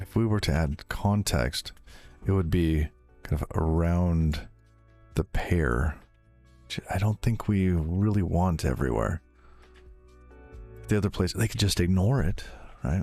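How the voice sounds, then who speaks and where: Music plays in the background, with long pauses coming often. The pace is fairly slow and the intonation is lively. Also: man, very deep, low pitch for a man. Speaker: live-coding streamer. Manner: casual, conversational.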